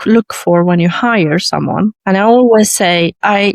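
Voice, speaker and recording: With an Arabic accent, a woman speaks at medium pitch and with fairly even intonation. The sound is dry and close, with no echo. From Iraq, moved to Sweden at eleven. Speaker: lawyer. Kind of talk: interview.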